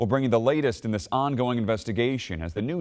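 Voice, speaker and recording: Lively intonation marks a man's ordinary speaking voice at medium pitch. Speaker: news anchor. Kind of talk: TV news anchor read.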